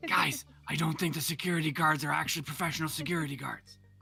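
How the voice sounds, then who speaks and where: A raspy, put-on character voice at a middle pitch rattles along at a very fast pace. Music plays in the background. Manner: sort of loud.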